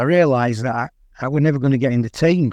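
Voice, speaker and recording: A man's very fast speech in a Yorkshire accent, fairly high in pitch with ordinary pitch variation, against a quiet background. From northern England. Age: 60s. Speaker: long-distance runner and author. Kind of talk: radio interview.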